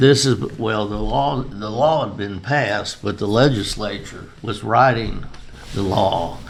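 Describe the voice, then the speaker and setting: With an American accent, a man speaks at a fairly low pitch and a fairly slow pace, using ordinary pitch variation over noticeable background noise. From Chicago. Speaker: retired beer distributor. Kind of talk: oral history interview answer.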